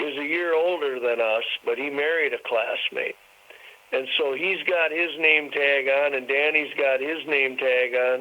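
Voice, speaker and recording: Noticeable background noise sits behind a man with an American accent. He talks at a fairly slow pace and a fairly high pitch, with fairly even intonation. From Wisconsin. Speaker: singer-songwriter. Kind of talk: interview.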